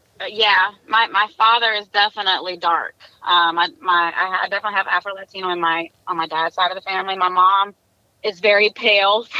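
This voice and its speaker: A woman talks with a Southern US accent at a medium pitch. Her pace is fairly quick, and her intonation fairly even. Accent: country Southern. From South Carolina. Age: 30s. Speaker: interview guest. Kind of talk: casual interview.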